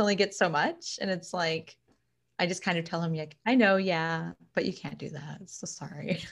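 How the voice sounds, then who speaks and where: On a very clean recording with a silent background, a woman with a fairly low pitch speaks at a moderate pace, somewhat breathy, with fairly even intonation and big swings in loudness. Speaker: astrology and numerology reader, small business owner. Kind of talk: casual chat.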